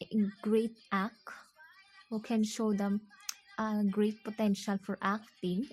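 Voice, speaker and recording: A woman with a non-native accent speaks at a very slow pace in a monotone, flat intonation. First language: not English. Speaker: video blogger. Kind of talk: monologue vlog. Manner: halting.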